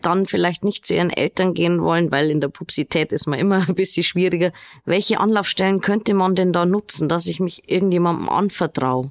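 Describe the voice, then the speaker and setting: A woman with an unremarkable speaking voice talks at a medium pitch and moderate pace, with ordinary pitch variation and very even loudness over a quiet background. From Regensburg, Bavaria; Bavaria. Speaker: podcast host. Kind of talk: interview. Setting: studio. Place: studio.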